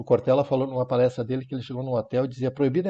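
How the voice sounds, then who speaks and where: A man talks here. His pace is very fast. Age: 60s. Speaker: Zen monk. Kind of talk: talk on Zen practice.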